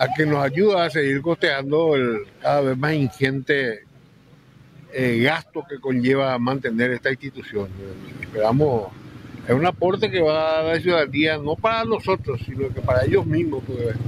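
Noticeable background noise runs behind the voice. A man talks with ordinary pitch variation. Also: moderate pace, dry sound with no echo. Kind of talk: interview answer. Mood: earnest appeal for donations. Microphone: handheld.

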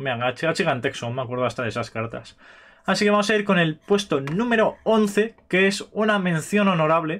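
Very wide pitch swings mark this man's speech, set high and delivered at a moderate pace. He has an Aragonese accent. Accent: Spanish from Spain (Aragon). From Spain. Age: 20s. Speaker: gaming youtuber. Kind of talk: casual chat. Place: home room. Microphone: webcam.

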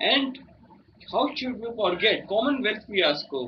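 A man at a very slow pace, with very wide pitch swings over light background noise. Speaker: speech trainee. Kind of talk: prepared speech. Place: home room. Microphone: phone near.

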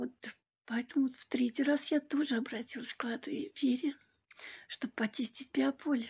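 A woman with a high voice speaks at a moderate pace, her intonation fairly even and her speech broken by long, frequent pauses. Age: 60s. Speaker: client giving a testimonial. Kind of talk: testimony. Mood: warm, grateful. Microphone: phone near.

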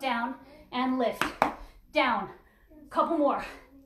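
Audible room echo surrounds a woman talking at a very slow pace. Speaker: fitness instructor. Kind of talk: workout class instruction. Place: home room. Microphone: camera far.

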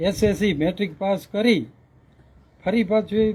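A man with a high pitch. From Saurashtra, Gujarat (Morbi area village). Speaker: retired school teacher. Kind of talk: interview, life story.

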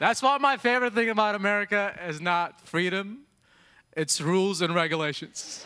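Against a quiet background, a man raises and projects his high-pitched voice, bright and sharp in tone with ordinary pitch variation. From Yemen. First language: Arabic. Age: 30s. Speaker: stand-up comedian. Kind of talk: late-night TV stand-up set, punchline-driven immigrant storytelling. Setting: theater stage with live audience. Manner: brisk, conversational joke pacing with quick tags. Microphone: handheld.

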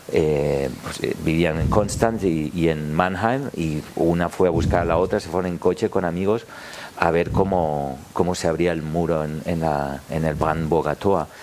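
Over light background noise, a man speaks at a fairly slow pace with a very deep, low pitch and ordinary pitch variation. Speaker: actor. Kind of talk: panel discussion. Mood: reflective personal memories. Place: stage. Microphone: headset.

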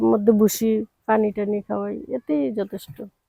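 In a dry, close sound with no echo, a woman speaks at a fairly high pitch with a dark, mellow tone. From Bangladesh, Cumilla. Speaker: goat farmer. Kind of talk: interview.

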